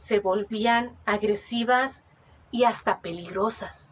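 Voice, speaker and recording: With a Mexican accent, a woman speaks at a very slow pace in a fairly high pitch. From Mexico. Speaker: oral storyteller. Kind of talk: oral legend storytelling.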